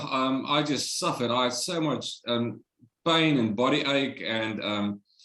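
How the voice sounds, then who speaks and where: A fairly high-pitched man speaks in a South African accent. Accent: Afrikaans South African English. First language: Afrikaans. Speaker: Covid survivor. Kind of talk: interview, personal testimony.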